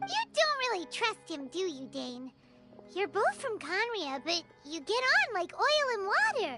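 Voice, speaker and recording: In a put-on character voice, the speaker hits an extremely high pitch and swings it very widely while music plays clearly in the background. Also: moderate pace. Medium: video game. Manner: direct, inquisitive.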